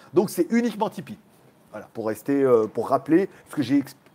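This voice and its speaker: High in pitch, a man speaks with an animated tone. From France, Lyon. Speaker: YouTuber, livestream host. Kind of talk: casual livestream chat with viewers.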